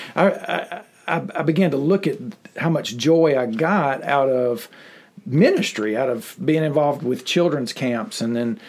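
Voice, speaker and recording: A man speaks with a Mississippi accent. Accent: Southern US (Mississippi). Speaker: pastor and special education teacher. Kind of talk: interview, personal testimony. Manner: halting, many fillers and repetitions.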